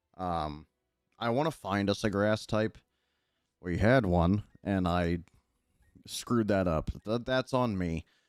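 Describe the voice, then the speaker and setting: Quiet and relaxed in tone, the voice goes at a very slow pace with long, frequent pauses and ordinary pitch variation, in a very clean recording with a silent background. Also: man, fairly low pitch for a man. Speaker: gaming streamer. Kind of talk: livestream gameplay chat. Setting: livestream. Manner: not loud or yelling.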